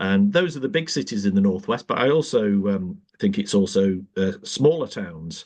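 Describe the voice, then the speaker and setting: A man in a Manchester accent speaks at a moderate pace, his pitch swinging very widely. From northern England, South Manchester. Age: 60s. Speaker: politician. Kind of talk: podcast interview. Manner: halting, many fillers.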